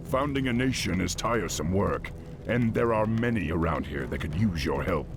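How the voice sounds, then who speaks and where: Over loud background noise, a man uses a put-on character voice with a very deep, low pitch, a calm tone and a moderate pace. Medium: video game. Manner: authoritative, calm.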